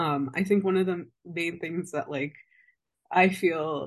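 A woman's fairly low-pitched voice with ordinary pitch variation, a plain, everyday voice, against a quiet background. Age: 20s. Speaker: public health advocate living with lupus. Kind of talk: casual interview conversation.

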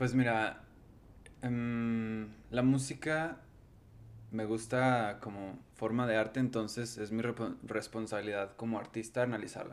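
In a Mexican accent, a man speaks fairly slowly at medium pitch in a flat monotone, with long, frequent pauses. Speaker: musician. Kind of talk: casual chat.

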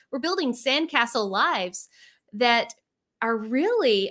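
A woman's animated voice with very wide pitch swings, on a very clean recording with a silent background. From Central Arkansas. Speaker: leadership coach, former educator. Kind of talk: interview.

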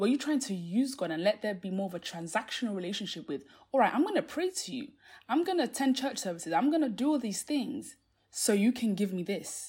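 A woman talks at a very fast pace and a fairly high pitch. Her pitch swings very widely. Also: very clean recording, silent background. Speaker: faith podcast host. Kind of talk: solo podcast talk, devotional teaching. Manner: fast when passionate; many fillers like um and like.

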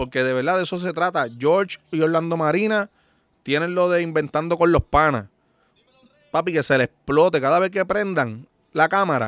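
A dry, close sound with no echo, a moderate pace and ordinary pitch variation. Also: man, high pitch for a man. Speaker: podcast host. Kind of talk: casual monologue. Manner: animated.

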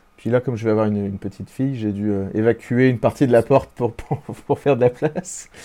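A man at medium pitch with a dark, mellow tone, ordinary pitch variation and a fairly quick pace. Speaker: singer. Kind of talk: interview.

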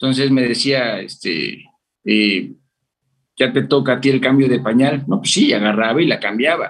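Medium male pitch with vocal fry and ordinary pitch variation, from a man. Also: moderate pace. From Mexico, Veracruz. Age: 30s. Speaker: father and chemical engineer. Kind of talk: casual interview. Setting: remote call.

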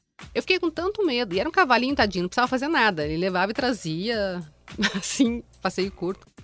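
Over music in the background, a woman talks at a very fast pace in a fairly high voice with very wide pitch swings. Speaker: podcast co-host. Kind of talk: casual chat.

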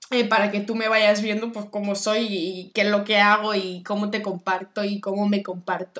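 A woman talks at a medium pitch and a moderate pace. She leaves hardly any pauses. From Barcelona, Spain. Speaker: podcast host and Akashic records reader. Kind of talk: casual solo monologue. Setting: home living room. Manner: animated. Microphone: laptop with microphone.

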